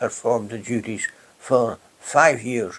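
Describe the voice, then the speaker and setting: In a Hebridean accent, a man speaks at a fairly slow pace with a medium pitch. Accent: Hebridean Scottish. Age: old. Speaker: retired public official. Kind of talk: oral history interview.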